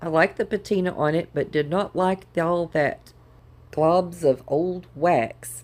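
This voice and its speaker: With a Southern US accent, a woman speaks very slowly at a fairly low pitch with ordinary pitch variation. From Southern United States. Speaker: DIY crafter. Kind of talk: casual talk to camera.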